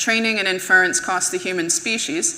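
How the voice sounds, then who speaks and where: A woman with an American accent, medium pitch and a bright, sharp tone, with audible room echo. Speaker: conference speaker, web engineer. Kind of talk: conference talk. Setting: stage with audience.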